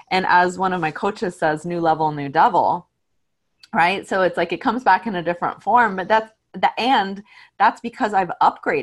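A woman at medium pitch, a normal speaking voice with ordinary pitch variation and a moderate pace. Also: quiet background. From Mexican-American family, US. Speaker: podcast co-host, coach. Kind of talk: casual chat.

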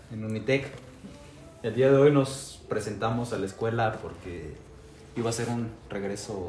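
Amid noticeable background noise and audible room echo, a man speaks at a fairly slow pace with long, frequent pauses, his medium pitch showing ordinary variation. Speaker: guest, university student. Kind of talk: casual chat.

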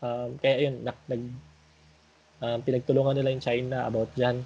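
A man speaks in a dark, mellow tone. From Philippines. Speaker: podcast host. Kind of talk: casual group discussion.

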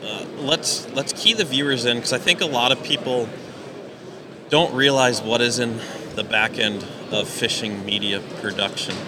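Noticeable background noise sits behind a man's medium-pitched voice. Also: ordinary pitch variation, moderate pace. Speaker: podcast host. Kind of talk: casual interview chat. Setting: live at ice show.

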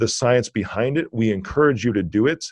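A normal speaking voice from a man, medium in pitch and fairly quick, over a quiet background. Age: 40s. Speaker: cybersecurity entrepreneur and pastor. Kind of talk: casual interview chat.

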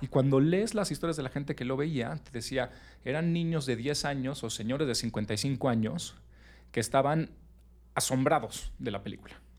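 A man talks in an ordinary speaking voice at a medium pitch and moderate pace. The recording is very clean, with a silent background. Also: ordinary pitch variation. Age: 30s. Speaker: podcast host. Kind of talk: casual chat.

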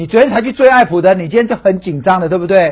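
A man talks in an animated tone. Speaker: stock analyst. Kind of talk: casual chat.

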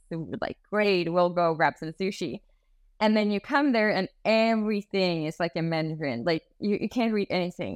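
The speaker keeps a moderate pace and uses ordinary pitch variation. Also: woman. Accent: Swedish. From Sweden. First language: Swedish. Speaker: global mobility specialist. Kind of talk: casual interview.

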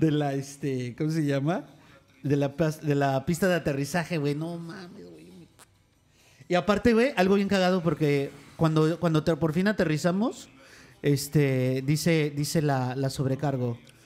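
Talking at a fairly slow pace in a Mexican accent, a man shows ordinary pitch variation. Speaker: podcast co-host. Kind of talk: casual chat. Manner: animated.

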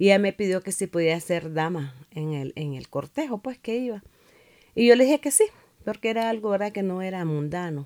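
Medium-pitched woman's voice, dark and mellow, at a moderate pace with lively intonation and a dry, close sound with no echo. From Nicaragua. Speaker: pastor and church district superintendent. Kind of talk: interview testimony.

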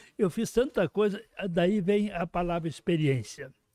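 A man with a high pitch and a dark, mellow tone speaks at a moderate pace with ordinary pitch variation. The sound is dry and close, with no echo. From Rio Grande do Sul, Brazil (Horizontina). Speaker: sociologist and writer. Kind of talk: casual interview.

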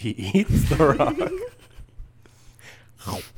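Pitched low-to-middle, the speaker performs a put-on character voice. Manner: deadpan, God impression.

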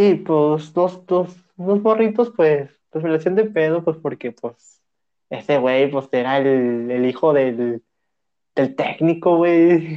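Very slow in pace, a man with a Mexican accent uses lively intonation at a fairly high pitch. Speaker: podcast co-host. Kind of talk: casual chat.

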